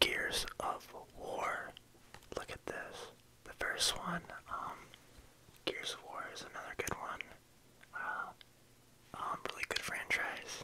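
The speaker whispers at a fairly slow pace, with long, frequent pauses. Loudness swings a lot. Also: man. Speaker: ASMR creator. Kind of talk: ASMR video game collection show-and-tell, casual talk to camera. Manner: soft-spoken. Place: home room. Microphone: phone near.

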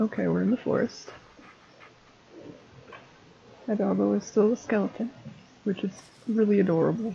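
Moderate pace over light background noise. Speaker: gameplay streamer. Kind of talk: casual gameplay commentary. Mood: playful, lightly spooked. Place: home room.

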